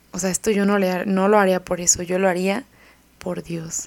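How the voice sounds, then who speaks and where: Speaking at a moderate pace, a woman talks with a medium pitch. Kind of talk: religious reflection.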